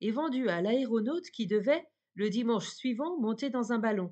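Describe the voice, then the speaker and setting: A woman's plain, everyday voice, fairly high-pitched with ordinary variation, over a quiet background. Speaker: audiobook narrator. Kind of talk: bedtime fairy-tale narration, reading aloud. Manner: calm, soft-spoken, slow and dreamy.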